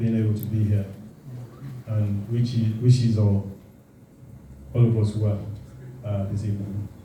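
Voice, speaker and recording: In a room with audible echo, a man talks at a fairly slow pace with a medium pitch and monotone, flat intonation. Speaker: alumni association secretary. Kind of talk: formal speech at dinner event. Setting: hotel function room with audience. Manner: halting.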